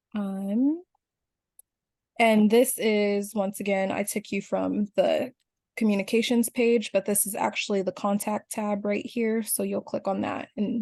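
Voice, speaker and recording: The woman's voice is fairly high-pitched, somewhat breathy, and dark and mellow in tone, with fairly even intonation. The recording is dry and close with no echo, over a quiet background. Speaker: union officer. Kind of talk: video call presentation.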